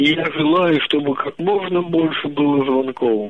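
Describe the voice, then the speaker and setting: Pitch varies in an ordinary way as the words come out fairly slowly. Background noise is noticeable throughout. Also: man. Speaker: regular caller. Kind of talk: casual phone chat. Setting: phone call. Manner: distinctive intonation.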